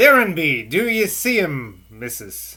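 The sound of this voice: Putting on a character voice, a man speaks fairly slowly at a high pitch with very wide pitch swings.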